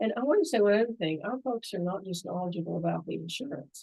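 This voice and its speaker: This is a woman's voice. She speaks with a Southern US accent. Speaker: long-term care insurance expert. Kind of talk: interview. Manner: animated.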